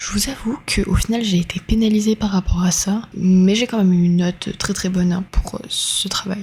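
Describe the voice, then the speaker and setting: In a dark, mellow tone, a woman talks at a medium pitch and a moderate pace with a monotone, flat intonation. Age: 20s. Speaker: university communication student. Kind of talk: vlog narration.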